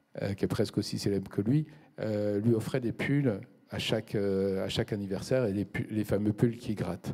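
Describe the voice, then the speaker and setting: The man's fairly low voice has a dark, mellow tone. His intonation stays fairly even. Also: moderate pace. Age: 60s. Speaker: company president. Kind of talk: business interview. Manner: hesitant, with many fillers.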